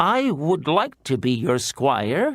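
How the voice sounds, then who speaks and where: A man puts on a character voice, fairly high in pitch, with very wide swings up and down. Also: very clean recording, silent background. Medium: read story.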